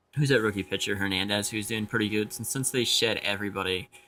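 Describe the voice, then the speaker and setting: A man with a fairly low pitch talks at a very fast pace with fairly even intonation. Music plays in the background. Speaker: gaming YouTuber. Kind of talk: casual commentary over gameplay. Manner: halting, many fillers.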